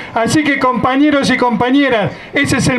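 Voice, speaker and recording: A man talks at a moderate pace with an extremely high pitch for a man. His intonation stays fairly even over light background noise. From Argentina. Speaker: union leader. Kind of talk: rally speech. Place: street.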